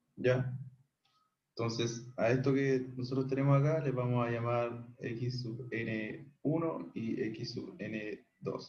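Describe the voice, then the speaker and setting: Here a man talks at a medium pitch. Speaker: math tutor. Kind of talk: online tutorial. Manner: casual, many fillers.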